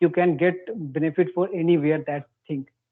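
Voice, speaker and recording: With an Indian accent, a man speaks at a moderate pace in a high pitch. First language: Hindi. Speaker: English-speaking practice channel host. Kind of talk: casual conversation practice. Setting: online call.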